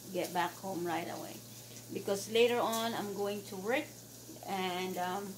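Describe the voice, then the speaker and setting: Amid noticeable background noise, the woman's words come at a fairly slow pace. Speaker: home vlogger. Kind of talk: casual vlog chat. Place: kitchen. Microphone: phone near.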